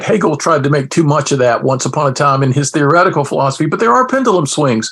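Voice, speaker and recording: Very fast and energetic, a man talks with lively intonation in a fairly high voice over noticeable background noise. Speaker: philosopher and former professor. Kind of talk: casual interview.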